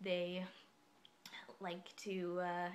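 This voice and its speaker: A soft-spoken woman talks with a fairly low pitch. Audible room echo hangs around her voice. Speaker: vlogger. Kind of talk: casual explainer monologue. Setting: dorm room. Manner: quiet, soft-spoken; hesitant, many fillers.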